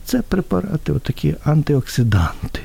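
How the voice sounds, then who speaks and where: Speaking at a moderate pace, a man uses medium pitch with a dark, mellow tone and a somewhat breathy quality. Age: 60s. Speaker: hepatologist. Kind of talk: radio interview.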